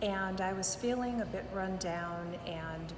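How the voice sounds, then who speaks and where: A woman's fairly low voice comes through with noticeable background noise and audible room echo. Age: 60s. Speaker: weight-loss program client. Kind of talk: testimonial interview. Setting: in person, Palm Springs.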